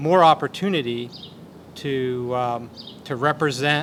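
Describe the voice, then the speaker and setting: Speaking with an American accent, a man keeps to a medium pitch. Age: 60s. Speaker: dairy cooperative representative. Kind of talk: roundtable remarks. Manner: halting.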